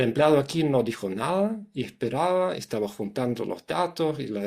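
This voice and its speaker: With a German accent, a man speaks at a moderate pace and a fairly high pitch with lively intonation, on a very clean recording with a silent background. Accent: foreign (German) accent in Spanish. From Germany, Hamburg. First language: German (speaking Spanish). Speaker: psychologist, communication consultant. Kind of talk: interview. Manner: halting, many restarts.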